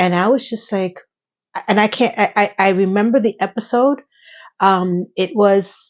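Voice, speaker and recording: With an unremarkable speaking voice, a woman talks at a fairly slow pace. Her pitch variation is ordinary. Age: 50s. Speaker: YouTuber. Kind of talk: casual vlog monologue.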